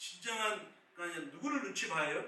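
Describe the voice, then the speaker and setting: Audible room echo hangs around a man's voice, with noticeable noise in the background. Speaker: pastor. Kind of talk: sermon.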